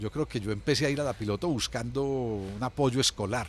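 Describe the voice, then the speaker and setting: Speaking in a paisa accent, a man of medium pitch talks with vocal fry. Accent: paisa Colombian Spanish. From Colombia, Medellín (Antioquia). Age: 60s. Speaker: former city culture official. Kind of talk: interview. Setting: café. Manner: hesitant, with fillers.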